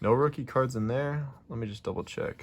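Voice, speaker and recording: A somewhat breathy male voice at a moderate pace. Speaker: card collecting youtuber. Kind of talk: unboxing video, casual chat. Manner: casual, halting.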